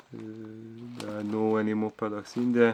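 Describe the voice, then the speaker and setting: With noticeable background noise, a man speaks in a monotone, flat manner at a fairly low pitch, with a Hungarian accent. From Hungary. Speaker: vlogger. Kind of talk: casual monologue vlog. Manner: halting, with many fillers.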